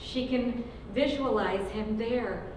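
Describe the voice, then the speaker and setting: A woman with a fairly high pitch speaks against noticeable background noise. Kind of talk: dramatic reading.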